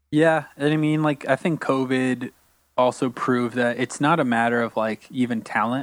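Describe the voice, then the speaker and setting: A man with an American accent has an unremarkable speaking voice at a medium pitch, with fairly even intonation. The recording is very clean with a silent background, and the sound is dry and close with no echo. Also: moderate pace, very even loudness. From Florida, Orlando. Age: 30s. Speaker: concert videographer and photographer. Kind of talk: casual interview chat.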